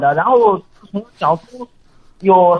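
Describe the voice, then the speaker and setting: A man's voice with ordinary pitch variation. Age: 20s. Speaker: factory worker. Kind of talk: call-in advice conversation.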